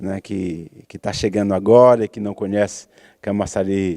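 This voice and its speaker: The voice has a dark, mellow tone and a very slow pace. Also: man. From Pernambuco, Brazil (Arcoverde). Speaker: TV talk show host, poet. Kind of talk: interview. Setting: theatre stage.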